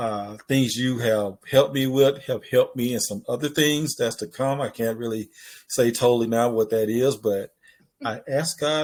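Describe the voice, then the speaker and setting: In a very clean recording with a silent background, a man with a Mississippi accent speaks at a moderate pace and medium pitch with ordinary pitch variation. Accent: Southern US (Mississippi). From US South. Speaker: podcast host. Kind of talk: casual chat.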